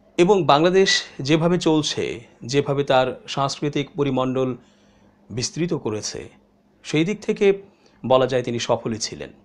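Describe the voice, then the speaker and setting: A fairly high-pitched male voice with lively intonation. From Bangladesh. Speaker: online news commentator. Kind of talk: monologue commentary. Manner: measured, pause-filled delivery. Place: studio.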